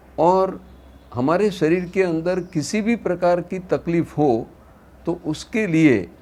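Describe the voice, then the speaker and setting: A man is speaking. His voice is high-pitched. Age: 70s. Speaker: naturopathy practitioner. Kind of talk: lecture.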